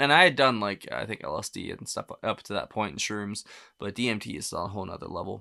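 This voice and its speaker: A man's quiet, raspy put-on character voice, fairly low in pitch, very fast, with lively intonation and big swings in loudness, in a very clean recording with a silent background. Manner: hushed to avoid being picked up by AI.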